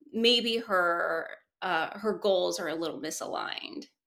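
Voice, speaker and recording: A woman with a bright, sharp tone and lively intonation at a very slow pace, on a very clean recording with a silent background. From South Korea. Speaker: screenwriter and producer. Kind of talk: interview. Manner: hesitant, many fillers.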